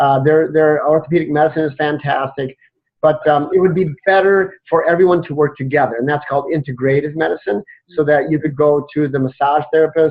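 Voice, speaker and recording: A plain, everyday voice from a man, fairly high in pitch, with fairly even intonation and a fairly quick pace. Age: 60s. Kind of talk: interview.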